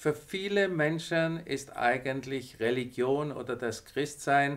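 The pitch varies in an ordinary way. The speaker is a man. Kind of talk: devotional talk to viewers. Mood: warm, encouraging. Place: studio.

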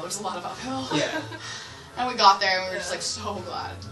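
Over clear background music, a woman speaks at a fairly quick pace. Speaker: interviewee. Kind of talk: interview answer. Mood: cheerful, laughing.

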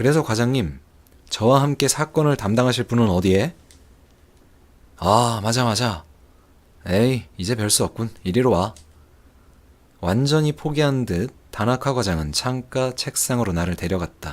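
A man speaks at a medium pitch and a fairly slow pace. Long, frequent pauses break up his speech. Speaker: game streamer. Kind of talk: reading a game's story text aloud as narration.

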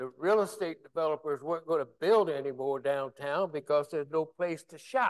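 A man with an American accent at a fairly quick pace, hardly any pauses, big swings in loudness and ordinary pitch variation, against a quiet background. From West Virginia. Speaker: former Army officer and city official; panelist. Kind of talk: panel discussion. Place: hall.

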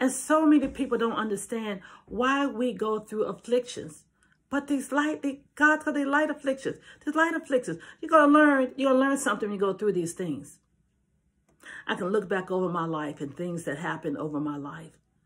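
Against a quiet background, a woman speaks fairly quickly with very wide pitch swings. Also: fairly high pitch for a woman. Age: 70s. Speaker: preacher. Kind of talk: sermon. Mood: earnest, heartfelt. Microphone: phone near.

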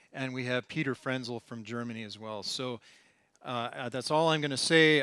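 Bright, sharp tone from a man, fairly even intonation, moderate pace, dry sound with no echo, quiet background. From United States. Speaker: professor, oceanographer; professor. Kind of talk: lecture. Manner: hesitant, many fillers. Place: hall.

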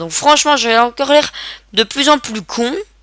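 A woman speaks at a moderate pace in a high pitch with a bright, sharp tone. The recording is very clean, with a silent background. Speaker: gaming video creator. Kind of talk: let's play commentary. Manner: animated.

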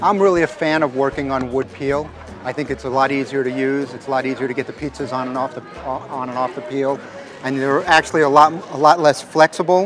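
A man at a very fast pace with fairly even intonation, in a dry sound with no echo and faint music in the background. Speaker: pizza chef demonstrator. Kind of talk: demonstration talk to audience. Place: open country.

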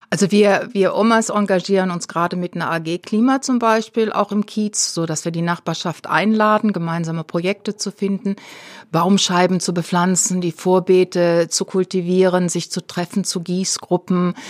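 A woman uses an ordinary speaking voice at medium pitch, with fairly even intonation and a moderate pace, recorded dry and close with no echo. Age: 60s. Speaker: activist. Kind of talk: interview.

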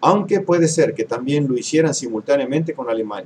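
A man's dark, mellow tone at a moderate pace, with light background noise. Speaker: history commentator. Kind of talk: lecture. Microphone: webcam.

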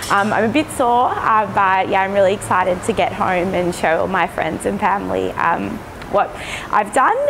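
Speech at a moderate pace with noticeable background noise. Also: woman, medium pitch for a woman, ordinary pitch variation. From Melbourne, Australia. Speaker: education designer, dental patient. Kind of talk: patient testimonial. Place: hall. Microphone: lapel.

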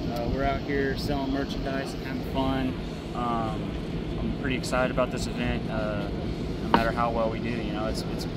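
A man's voice comes through dry with no echo amid loud background noise. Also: moderate pace. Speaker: vlogger. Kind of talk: casual vlog chat. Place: stadium. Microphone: phone near.

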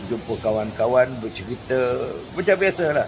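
Moderate-paced speech over noticeable background noise. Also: man. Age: 80s+. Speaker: veteran actor. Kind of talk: casual interview. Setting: outside a mosque.

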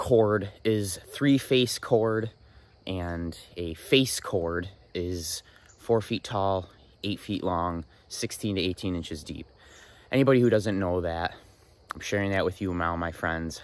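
In a dry sound with no echo, a man with a very deep, low pitch and ordinary pitch variation speaks at a very slow pace with long, frequent pauses. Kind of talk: casual vlog chat. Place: open country. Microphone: phone near.

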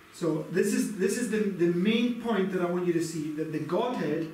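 Amid audible room echo and light background noise, a man speaks fairly slowly at a high pitch with ordinary pitch variation. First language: English (speaking German). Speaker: preacher. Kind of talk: sermon. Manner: halting. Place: home room.

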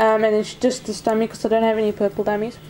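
A woman's voice over light background noise. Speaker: doll collector vlogger. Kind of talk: casual vlog chat. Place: home room. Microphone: phone near.

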